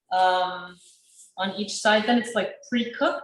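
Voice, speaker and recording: A woman with a non-native accent at a moderate pace, with ordinary pitch variation. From Sudan. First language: not English. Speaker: chef and small business owner. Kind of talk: cooking class.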